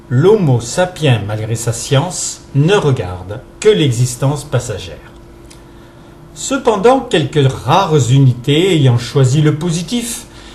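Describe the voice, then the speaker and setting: Over noticeable background noise, a man with a fairly high pitch speaks at a very slow pace, his pitch swinging very widely. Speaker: presenter reading a text written by someone else. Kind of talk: reading of a reflective philosophical text.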